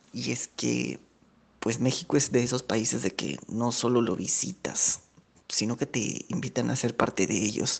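At a fairly slow pace, a man with medium pitch, vocal fry and ordinary pitch variation speaks. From Peru. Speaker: former visitor to Mexico. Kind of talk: recorded testimonial.

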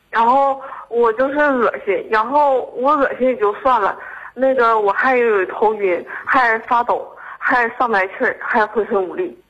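This woman has a high pitch and talks at a fairly slow pace with ordinary pitch variation. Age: 20s. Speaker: caller, medical student. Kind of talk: call-in advice conversation. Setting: phone call.

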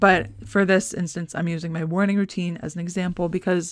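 A woman's ordinary speaking voice at medium pitch, moderately paced, with fairly even intonation. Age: 20s. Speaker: podcast host. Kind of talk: casual monologue. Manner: rambling with fillers.

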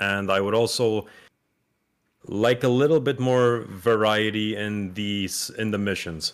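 A man speaks in a plain, everyday voice. His pitch is fairly low and his intonation fairly even. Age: 20s. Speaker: gaming YouTuber. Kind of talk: casual chat. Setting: online call.

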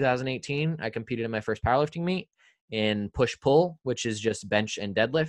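A man with an American accent has an ordinary speaking voice at medium pitch, with lively intonation. He talks at a moderate pace against a quiet background. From Indiana. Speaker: streamer and content creator. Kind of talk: casual chat.

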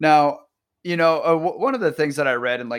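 A man talks at a moderate pace in an unremarkable speaking voice with ordinary pitch variation. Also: very clean recording, silent background. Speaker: podcast host. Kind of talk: casual interview chat.

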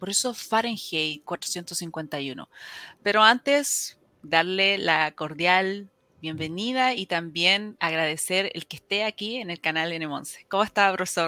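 Speaking very slowly, a woman uses a bright, sharp tone at medium pitch with ordinary pitch variation, on a very clean recording with a silent background and a dry, close sound with no echo. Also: big swings in loudness. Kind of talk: interview conversation.

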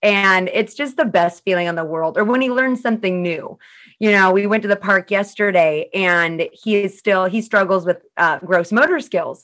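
A woman with an unremarkable speaking voice talks at a medium pitch and moderate pace with ordinary pitch variation, on a very clean recording with a silent background. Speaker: trainer and podcast host. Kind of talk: casual interview chat. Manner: upbeat, chatty.

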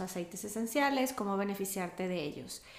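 A woman speaks at medium pitch and a moderate pace. There is noticeable background noise and audible room echo. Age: 40s. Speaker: yoga and meditation teacher. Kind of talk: interview.

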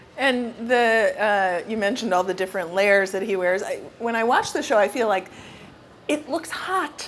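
A woman's fairly high voice with lively intonation at a moderate pace, with noticeable background noise. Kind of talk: moderated interview. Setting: stage with audience at store event.

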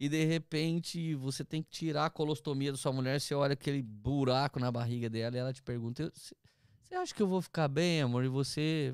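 A man's plain, everyday voice, fairly high and fairly quick, with fairly even intonation and a dry, close sound with no echo. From interior of São Paulo state, Brazil (Taubaté/Tremembé). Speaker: pastor. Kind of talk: casual chat, testimony.

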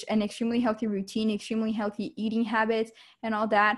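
Somewhat breathy and fairly high in pitch, a woman speaks with monotone, flat intonation on a very clean recording with a silent background. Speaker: podcast co-host. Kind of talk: casual chat. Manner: slow.

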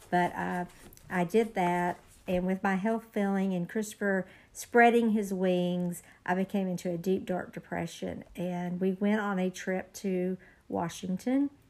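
A woman speaks in a normal speaking voice at a medium pitch. Her intonation is fairly even and her pace fairly slow. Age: 40s. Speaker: guest sharing personal story. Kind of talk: testimony.

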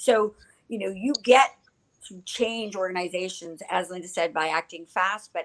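In a Canadian accent, a woman speaks at a fairly slow pace. She has a normal speaking voice with lively intonation. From Ottawa, Canada. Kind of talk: casual interview chat.

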